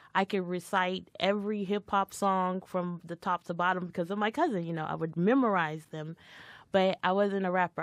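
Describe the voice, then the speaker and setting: A woman's ordinary speaking voice at a medium pitch and moderate pace, with fairly even intonation and a dry, close, echo-free sound over a quiet background. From Washington DC. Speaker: rapper and spoken word artist. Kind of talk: casual interview chat.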